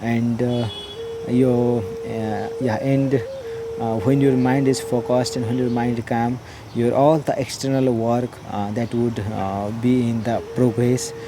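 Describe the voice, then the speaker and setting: A man's very slow, monotone, flat delivery in a Nepali accent, with audible room echo and noticeable background noise. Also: medium pitch for a man. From Nepal, Jhapa District. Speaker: meditation practitioner. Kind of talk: personal testimony. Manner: halting, many fillers.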